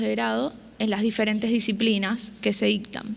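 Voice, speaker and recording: This woman's fairly high voice moves at a moderate pace, and her pitch rises and falls in an ordinary way. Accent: Mendoza. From Argentina, Mendoza. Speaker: university student panelist. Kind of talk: prepared panel presentation.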